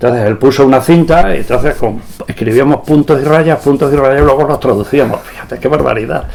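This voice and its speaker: A man's fairly high voice at a fairly quick pace, with ordinary pitch variation and noticeable background noise. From Spain, Badajoz (Extremadura). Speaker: veteran radio amateur, engineer. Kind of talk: interview, anecdotal storytelling. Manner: animated.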